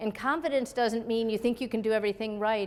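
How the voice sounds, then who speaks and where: A woman with an American accent has an unremarkable speaking voice, fairly high in pitch and fairly even in intonation. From US Midwest, Chicago area. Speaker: military officer and physician. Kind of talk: keynote speech.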